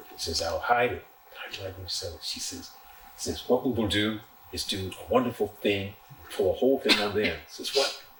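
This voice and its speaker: With an American accent, this man talks at a moderate pace while noticeable noise fills the background. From Illinois, USA. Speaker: poet. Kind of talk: storytelling talk to a small audience. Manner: playful.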